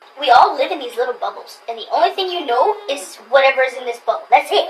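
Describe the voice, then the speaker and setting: Over noticeable background noise, a woman talks at a very fast pace with very wide pitch swings. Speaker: YouTuber. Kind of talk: casual chat. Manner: animated.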